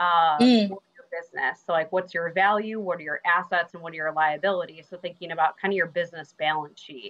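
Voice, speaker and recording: A woman speaks in an unremarkable speaking voice, fairly low in pitch and with ordinary pitch variation. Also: fairly quick pace, big swings in loudness. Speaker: guest. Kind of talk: interview answer. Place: home room. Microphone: video call.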